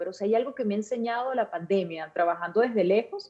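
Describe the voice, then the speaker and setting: A woman speaks at a medium pitch with a Venezuelan accent. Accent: Venezuelan Spanish, well preserved. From Venezuela, La Guaira. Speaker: journalist. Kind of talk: interview.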